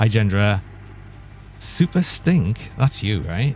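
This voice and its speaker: With a northern English accent, a man speaks in vocal fry, his pitch swinging very widely. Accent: British, northern. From northeast England. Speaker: vtuber game streamer. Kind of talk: live-stream gaming chat. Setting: live stream.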